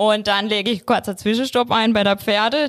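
A woman with a normal speaking voice talks at a moderate pace and medium pitch in a very clean recording with a silent background. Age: 20s. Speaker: bank advisor. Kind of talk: casual interview.

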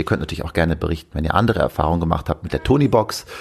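A man at a very fast pace with lively intonation. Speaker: podcast host and father. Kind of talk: casual solo chat. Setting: at home, bed then veranda.

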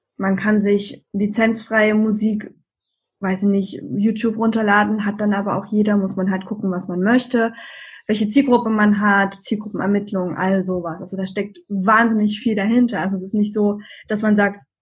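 The voice is somewhat breathy, with fairly even intonation and a moderate pace. The background is quiet. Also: woman, medium pitch for a woman. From Saxony, Germany. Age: 30s. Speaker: virtual assistant for podcasters. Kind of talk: interview.

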